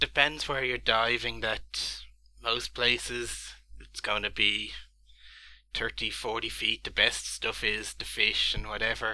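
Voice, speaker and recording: A man with an Irish accent at a fairly slow pace. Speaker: gamer and scuba diver. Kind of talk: casual chat. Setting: video call.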